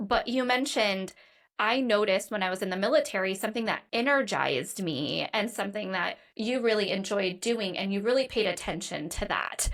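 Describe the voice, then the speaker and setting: A woman's plain, everyday voice, medium in pitch with ordinary pitch variation, at a fairly quick pace on a very clean recording with a silent background. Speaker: podcast host, licensed clinical social worker. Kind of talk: podcast interview.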